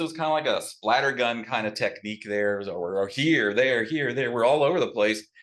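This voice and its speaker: The background is quiet. At a moderate pace, a man talks with lively intonation. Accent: Texas. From Texas. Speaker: new local resident. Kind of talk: casual storytelling talk.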